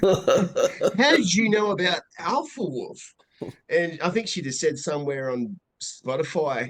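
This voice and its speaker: With an Australian accent, a man speaks at a fairly slow pace with a high pitch. His pitch swings very widely. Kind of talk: casual chat.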